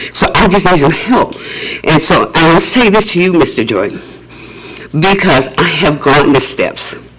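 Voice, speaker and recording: Over noticeable background noise, a high-pitched man speaks with lively intonation and very even loudness. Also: moderate pace. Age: 80s+. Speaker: public commenter, housing resident. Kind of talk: public comment at board meeting.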